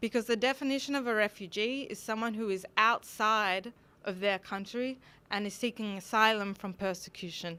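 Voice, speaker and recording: A woman with an Australian accent speaks at a fairly high pitch in a bright, sharp tone. Her intonation is fairly even, her pace moderate, and the recording very clean with a silent background. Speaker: conference speaker. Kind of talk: lecture.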